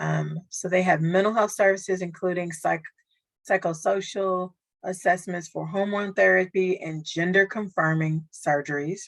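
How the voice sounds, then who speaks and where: A woman talks in a normal speaking voice at medium pitch. Her pace is moderate and her intonation fairly even. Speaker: social worker. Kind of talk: training presentation; Q&A discussion.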